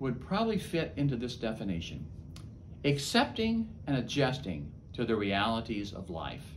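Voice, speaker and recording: Through audible room echo, a man's voice shows vocal fry and very wide pitch swings. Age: 70s. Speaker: chaplain. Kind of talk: talk to camera.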